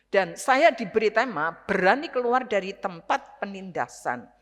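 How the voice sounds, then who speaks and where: An ordinary speaking voice from a woman, fairly high in pitch, at a moderate pace with lively intonation. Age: 60s. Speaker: retired pastor, guest preacher. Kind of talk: sermon. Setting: church service.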